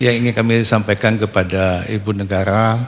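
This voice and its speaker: A man's fairly low, monotone voice with flat intonation, on a very clean recording over a silent background. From Aceh, Indonesia. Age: 70s. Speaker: retired civil servant, regional pensioners' association official. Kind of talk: public address to the First Lady at a televised event. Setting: palace hall event, broadcast on TV. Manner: halting, frequent fillers; formal.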